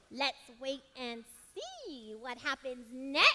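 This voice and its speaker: A put-on character voice, female-sounding and high in pitch. It moves at a very slow pace. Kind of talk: stage dialogue. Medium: stage play. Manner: earnest, soothing.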